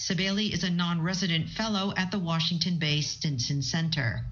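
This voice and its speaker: Noticeable background noise surrounds a woman with a fairly low pitch. She talks at a fairly quick pace with ordinary pitch variation. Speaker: foreign correspondent. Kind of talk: news report.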